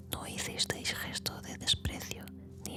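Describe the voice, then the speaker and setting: Someone whispers in a calm tone at a very slow pace. Noticeable background noise runs under the voice. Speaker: Bible reader / ASMR channel host. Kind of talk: whispered Bible reading for relaxation and sleep (ASMR audiobook). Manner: whispered, slow, calm.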